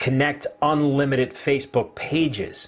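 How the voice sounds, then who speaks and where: Over noticeable background noise, a man talks with a New Jersey accent. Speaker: online marketing livestream host. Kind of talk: casual live-stream chat.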